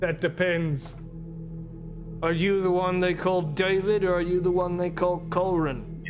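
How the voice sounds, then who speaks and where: Over loud music in the background, a man does a put-on character voice with a menacing tone and a high pitch. He keeps a moderate pace and very even loudness. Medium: actual play. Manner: grim, menacing.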